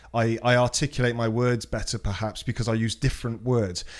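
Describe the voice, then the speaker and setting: A man talks with a British accent. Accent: British, sounds posh and well-spoken. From Britain. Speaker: podcast guest. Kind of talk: casual chat. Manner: articulate, well-spoken.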